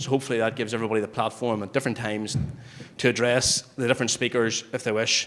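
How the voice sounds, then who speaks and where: Words come out at a very fast pace from a man with a Northern Irish accent. His intonation is monotone and flat. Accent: Newry. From Northern Ireland, Newry. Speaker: human rights lawyer, panel chair. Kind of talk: moderating a public panel. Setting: public meeting with audience. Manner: hesitant, with fillers.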